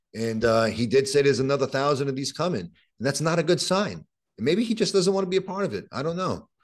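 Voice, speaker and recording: Against a quiet background, a man with a strong Brooklyn accent talks at a very fast pace in a fairly high pitch with very wide pitch swings. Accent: strong Brooklyn New York. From Brooklyn, New York, Puerto Rican family. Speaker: criminal defense attorney. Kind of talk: interview conversation. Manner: repetitive, halting starts.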